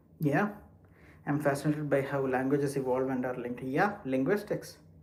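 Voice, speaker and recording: A man with a non-native accent talks at a fairly quick pace. His pitch is fairly high, and there is audible room echo. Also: ordinary pitch variation. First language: not English. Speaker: live streamer. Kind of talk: casual chat. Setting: walking while livestreaming.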